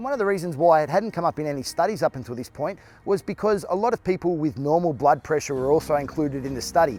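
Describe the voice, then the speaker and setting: Music plays in the background. In an Australian accent, the lively voice runs at a very fast pace with hardly any pauses. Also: man, fairly high pitch for a man. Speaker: fitness trainer. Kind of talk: health explainer.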